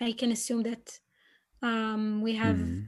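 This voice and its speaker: A woman speaks at a moderate pace with an Israeli accent, her pitch fairly high. The recording is very clean, with a silent background. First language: Hebrew. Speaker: PhD researcher. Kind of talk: interview.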